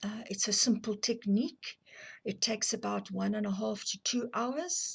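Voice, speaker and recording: In a South African accent, a woman talks at a moderate pace and fairly high pitch, with vocal fry and ordinary pitch variation. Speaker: abuse survivor and counselling advocate. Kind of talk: personal testimony to camera. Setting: filmed on camera. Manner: hesitant, with fillers.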